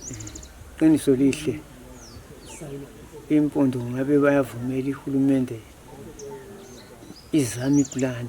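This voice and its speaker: A man with a Zimbabwean accent speaks fairly slowly at a medium pitch in a flat monotone, with long, frequent pauses. Noticeable background noise runs underneath. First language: Ndebele. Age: 80s+. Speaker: villager. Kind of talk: interview. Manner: halting.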